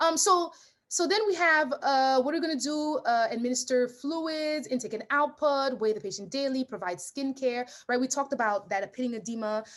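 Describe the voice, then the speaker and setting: Animated in tone, a woman with a high pitch uses lively intonation and leaves hardly any pauses. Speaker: nurse practitioner and nursing tutor. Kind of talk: lecture. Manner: fast.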